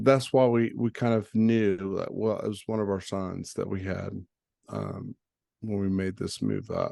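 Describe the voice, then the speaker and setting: A man with a slight Southern US accent at a fairly slow pace. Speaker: crypto trading educator. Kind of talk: tutorial. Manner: casual, hesitant with fillers.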